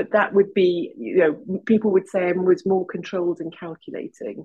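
A woman speaks in a Welsh accent. Her pitch varies in an ordinary way. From Wales. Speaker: kinesiologist. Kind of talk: casual chat.

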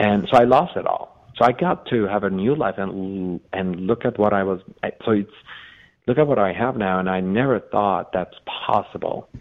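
An unremarkable speaking voice from a man with a fairly low pitch, ordinary pitch variation and a moderate pace. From Iran (Armenian community), born in Los Angeles. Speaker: author and real estate businessman. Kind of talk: interview, personal storytelling.

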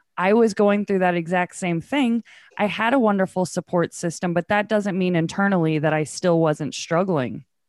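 A woman talks at medium pitch and a moderate pace, with ordinary pitch variation and very even loudness. The sound is dry and close with no echo, over a quiet background. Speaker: podcaster. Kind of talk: casual interview chat. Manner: animated, laughs often.

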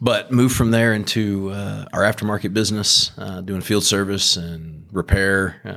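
With fairly even intonation, a man speaks at a fairly quick pace and a fairly low pitch. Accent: Texan. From Southeast Texas, Beaumont. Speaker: energy company executive. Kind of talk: interview. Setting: office tower.

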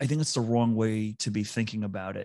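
A man talks with an American accent at a moderate pace. His medium-pitched voice is a plain, everyday voice. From US East Coast. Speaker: talent advisor, former HR executive. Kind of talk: interview.

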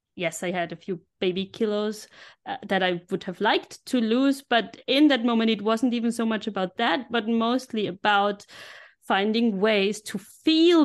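Against a quiet background, a woman with a German accent and fairly high pitch speaks fairly slowly with ordinary pitch variation. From Austria, Innsbruck (Tyrol). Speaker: life coach. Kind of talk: podcast interview.

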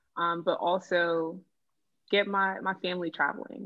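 In an American accent, a woman talks at a fairly slow pace. Her medium pitch follows a fairly even intonation. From Boston, Massachusetts. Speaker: freelance food writer. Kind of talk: casual chat.

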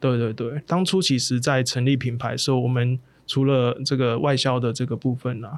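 Here is a man with an ordinary speaking voice at a medium pitch. He keeps a moderate pace and fairly even intonation. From southern Taiwan. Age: 30s. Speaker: plant-based meat entrepreneur. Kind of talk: interview.

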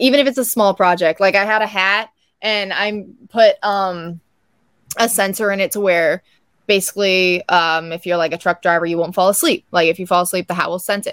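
Here is an ordinary speaking voice: a woman at medium pitch, talking fairly quickly with fairly even intonation. The recording is very clean, with a silent background and a dry, close sound with no echo. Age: young. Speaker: scientist, inventor and pageant contestant. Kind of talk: casual chat.

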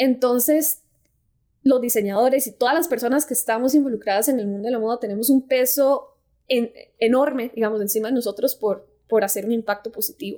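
Speaking at a fairly quick pace, a woman with a Costa Rican accent uses a high pitch, a dark, mellow tone and ordinary pitch variation, in a very clean recording with a silent background. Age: 20s. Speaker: fashion design student and content creator. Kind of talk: casual interview.

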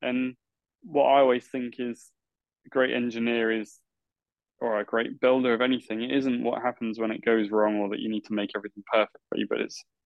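Speaking at a fairly quick pace, a man of medium pitch keeps his intonation fairly even, with an English accent. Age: 30s. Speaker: podcast host, guitar meetup organiser. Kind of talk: interview.

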